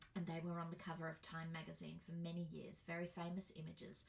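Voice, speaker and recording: A woman with an Australian accent talks at a moderate pace. Her voice is fairly low in pitch and somewhat breathy. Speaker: birth educator and workshop facilitator. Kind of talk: presentation. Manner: casual, with fillers.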